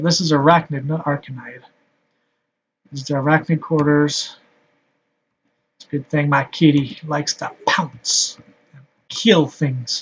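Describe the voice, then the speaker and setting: At a fairly slow pace, a man talks in a fairly high, somewhat breathy voice. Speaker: gaming video creator. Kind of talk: gameplay commentary. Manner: monotone. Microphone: laptop mic, game sound may overpower voice.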